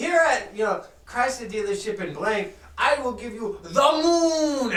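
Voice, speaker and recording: A put-on character voice pitched fairly high. It moves at a moderate pace with a slight echo. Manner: mocking.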